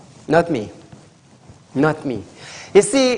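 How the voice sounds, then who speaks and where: A man with a Trinidadian accent speaks at a high pitch, his voice swinging very widely up and down. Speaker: TV call-in show host. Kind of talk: live call-in TV show.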